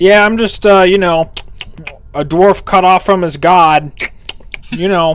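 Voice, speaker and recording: A man mumbles in a put-on character voice pitched high, speaking at a fairly slow pace with long, frequent pauses over clear background noise. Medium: actual play. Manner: blunt, mumbling with mouth full.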